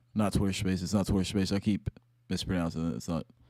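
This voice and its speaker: A man speaks with a very deep, low pitch and a dark, mellow tone, his intonation fairly even. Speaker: crypto livestreamer. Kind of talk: live stream commentary. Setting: home at night, live stream. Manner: kept quiet, trying not to get loud.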